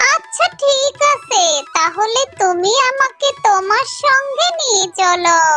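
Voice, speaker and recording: A cartoonish character voice at an extremely high pitch talks at a very slow pace over clear background noise. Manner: gentle, obliging.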